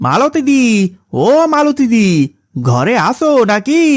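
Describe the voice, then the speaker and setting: The pitch is extremely high as a man performs a cartoonish character voice. His delivery is fairly slow. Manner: hurried, agitated.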